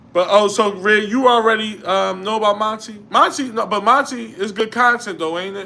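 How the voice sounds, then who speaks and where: A man with a Philadelphia accent speaks in a high pitch with a raised, projected voice. His pace is fairly quick. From Philadelphia, US. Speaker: YouTuber, livestream host. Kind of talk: casual livestream chat. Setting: home livestream by a window. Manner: conversational, responding to chat.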